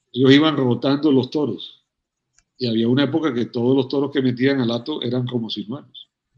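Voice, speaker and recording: A man of medium pitch speaks fairly quickly in a monotone, flat intonation. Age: 60s. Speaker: veterinarian and cattle rancher. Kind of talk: interview conversation.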